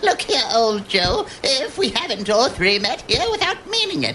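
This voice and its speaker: In a put-on character voice, a woman cackles at a high pitch with very wide pitch swings, keeping a moderate pace and very even loudness over clear background noise. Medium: audio drama. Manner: cackling, brazen.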